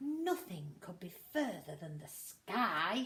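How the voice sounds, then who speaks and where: A put-on character voice, very slow, with very wide pitch swings. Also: woman. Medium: read story. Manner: eager.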